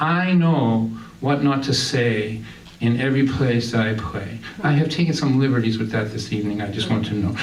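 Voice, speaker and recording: In a Boston accent, a man speaks at a moderate pace with ordinary pitch variation, with audible room echo and noticeable background noise. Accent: Boston-area New England. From Massachusetts, Lynn. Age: 60s. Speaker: singer-songwriter and storyteller. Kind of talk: stand-up storytelling. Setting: stage with audience. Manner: animated.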